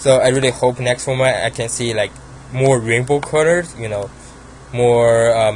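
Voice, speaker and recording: A man with a Chinese accent speaks at a medium pitch and moderate pace. His intonation is fairly even, over noticeable background noise. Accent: Asian accent (Chinese). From China. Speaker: card game YouTuber. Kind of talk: casual deck profile talk. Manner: halting, many fillers.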